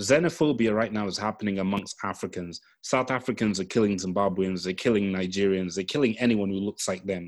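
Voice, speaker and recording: In a very clean recording with a silent background, a man with a normal speaking voice talks at a fairly quick pace with hardly any pauses, his pitch fairly low and its variation ordinary. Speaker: podcast panelist. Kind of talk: casual discussion.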